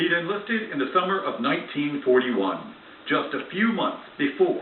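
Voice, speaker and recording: High-pitched male speech at a moderate pace with very wide pitch swings over noticeable background noise. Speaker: TV news reporter. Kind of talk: TV news report narration.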